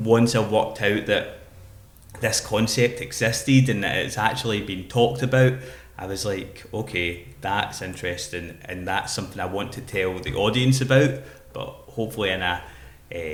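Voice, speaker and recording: With a Glaswegian accent, a man speaks at a medium pitch with ordinary pitch variation and big swings in loudness while music plays in the background. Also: moderate pace. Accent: Glaswegian Scottish. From Glasgow, Scotland. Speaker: poet and spoken word artist. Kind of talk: podcast interview answer.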